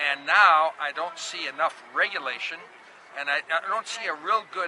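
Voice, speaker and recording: There is noticeable background noise. Over it, a man with an Upper Midwest accent speaks with ordinary pitch variation. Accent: Upper Midwest American. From Minnesota. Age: 60s. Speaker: protester. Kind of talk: street interview. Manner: animated.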